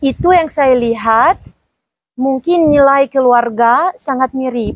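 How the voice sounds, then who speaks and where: A woman's high-pitched voice at a very slow pace, with ordinary pitch variation and a dry, close sound with no echo. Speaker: diplomat. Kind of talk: podcast interview. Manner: halting.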